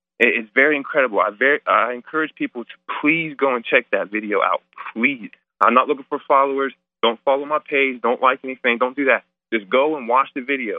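Music plays in the background as a man talks. He has an American accent and a fairly quick pace. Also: fairly high pitch for a man, fairly even intonation. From US Midwest, Ohio. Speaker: caller, formerly incarcerated. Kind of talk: phone-in testimony. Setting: phone call.

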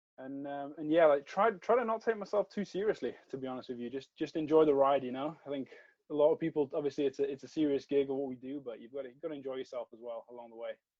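A man with a British accent, fairly high in pitch, talking at a very fast pace with hardly any pauses and big swings in loudness. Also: ordinary pitch variation. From United Kingdom. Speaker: strength and conditioning coach. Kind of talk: casual podcast interview. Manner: halting, many repetitions.

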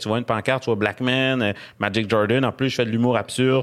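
Speaking at a fairly quick pace in a Quebec accent, a man keeps a medium pitch and fairly even intonation. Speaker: comedian. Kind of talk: casual chat.

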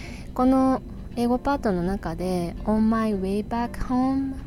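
Very slow speech from a woman with a fairly high pitch and ordinary pitch variation. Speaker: English teacher podcaster. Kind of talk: tutorial. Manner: low-energy.

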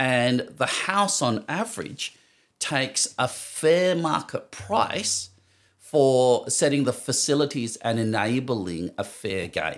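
A man with an Australian accent talks at a very slow pace and medium pitch, his pitch swinging very widely, on a very clean recording with a silent background. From Western Australia. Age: 50s. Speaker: professional poker player. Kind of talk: casual interview chat.

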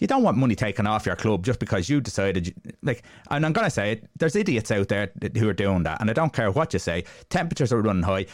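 Very fast and with lively intonation, a man with an Irish accent speaks at a fairly low pitch and very even loudness, in a very clean recording with a silent background. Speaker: football podcast host. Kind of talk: casual chat.

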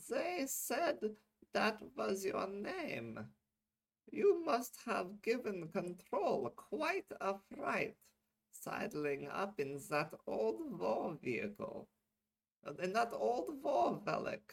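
A put-on character voice, raspy and middle-pitched, very slow with long, frequent pauses

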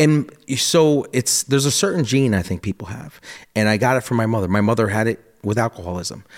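In a very clean recording with a silent background, a man with an American accent talks fairly quickly at a medium pitch with ordinary pitch variation. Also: dry, close sound with no echo. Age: 40s. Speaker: entrepreneur and former poker player. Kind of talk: casual interview. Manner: animated.

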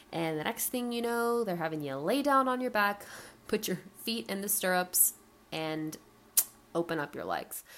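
With an American accent, a woman speaks at a medium pitch with lively intonation. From US South, Atlanta, Georgia. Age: 20s. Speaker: podcast host. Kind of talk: solo podcast monologue. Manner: casual, unscripted.

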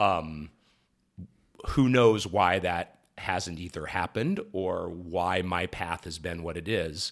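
On a very clean recording with a silent background, a man with a General American accent talks at a very slow pace in a very deep, low pitch with ordinary pitch variation. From US Midwest (Ohio, Columbus area). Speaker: sports broadcaster. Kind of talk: casual interview.

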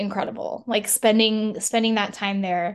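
A woman talks at a fairly slow pace with a fairly high pitch. The background is quiet. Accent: American. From El Paso, Texas. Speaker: operations support worker. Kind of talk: casual chat. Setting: video call.

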